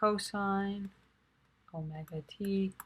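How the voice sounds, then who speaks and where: A woman talks quietly at a medium pitch with fairly even intonation. Her voice is somewhat breathy. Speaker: math and physics tutor. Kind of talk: tutorial. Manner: monotone.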